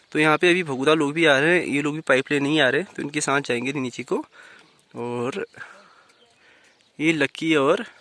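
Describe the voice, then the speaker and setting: A man's fairly high-pitched voice at a moderate pace, with ordinary pitch variation, long, frequent pauses, and a dry, close sound with no echo. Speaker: village vlogger. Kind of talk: casual vlog narration. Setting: outdoors in village. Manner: hesitant with fillers.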